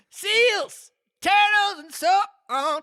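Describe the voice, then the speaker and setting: A man puts on a character voice, pitching it extremely high. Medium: read story. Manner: sorrowful, sighing.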